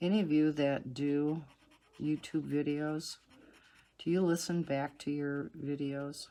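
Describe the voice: In a low pitch, a woman speaks slowly with a dark, mellow tone. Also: fairly even intonation.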